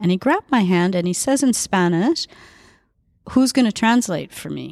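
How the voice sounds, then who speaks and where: A woman with a Canadian accent and an unremarkable speaking voice, medium in pitch, lively in intonation and moderate in pace, in a very clean recording with a silent background. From Edmonton, Canada. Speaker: tango teacher and dancer. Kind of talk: casual chat.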